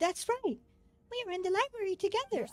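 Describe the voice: This put-on character voice sounds female, squeaky and extremely high-pitched, and it moves at a fairly quick pace.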